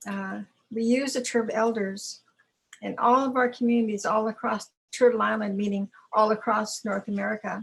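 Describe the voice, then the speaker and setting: At a moderate pace, a woman talks in a fairly high, somewhat breathy voice. Her intonation is monotone and flat. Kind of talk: testimony.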